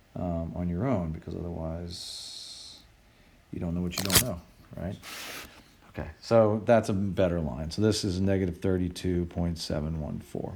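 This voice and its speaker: A man with a very deep, low pitch and fairly even intonation, at a moderate pace over noticeable background noise. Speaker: engineering professor. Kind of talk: tutorial.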